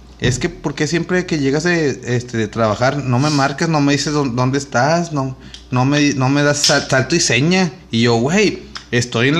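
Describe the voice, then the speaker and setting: There is noticeable background noise as a man with a fairly high pitch talks with ordinary pitch variation and very even loudness. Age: 30s. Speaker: podcast co-host. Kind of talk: casual chat.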